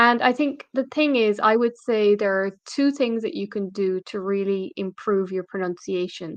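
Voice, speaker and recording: A woman of medium pitch talks at a moderate pace with ordinary pitch variation. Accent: Irish. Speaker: English teacher. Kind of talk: live stream lesson. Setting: live video stream.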